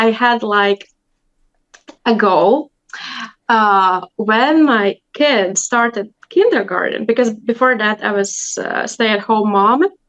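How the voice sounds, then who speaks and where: Speaking at a very slow pace, a woman uses a fairly high pitch with ordinary variation. She talks in a Latvian accent. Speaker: language teacher. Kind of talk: interview. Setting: video call.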